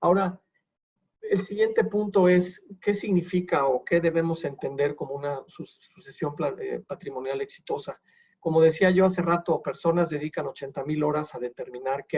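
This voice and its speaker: At a moderate pace, this is an ordinary speaking voice whose pitch varies in an ordinary way. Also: man. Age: 60s. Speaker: wealth succession advisor. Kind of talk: lecture.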